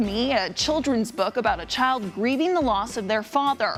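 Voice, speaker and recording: Over music in the background, a woman with a high pitch speaks at a moderate pace with lively intonation. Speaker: TV news reporter and anchor. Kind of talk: TV news report.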